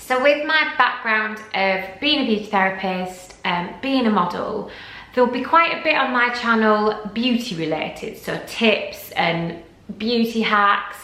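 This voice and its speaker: In a Yorkshire accent, a woman talks at a fairly slow pace and fairly high pitch. Her intonation is lively, with audible room echo. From Yorkshire, northern England. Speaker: lifestyle vlogger and former model. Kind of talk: casual vlog Q&A. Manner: chatty, with frequent ums.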